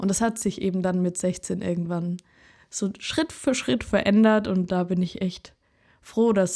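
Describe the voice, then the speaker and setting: At a moderate pace and medium pitch, a woman speaks in a dark, mellow tone with fairly even intonation on a very clean recording with a silent background. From Germany, Karlsruhe (Baden). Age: 20s. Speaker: singer and podcast host. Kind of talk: casual monologue.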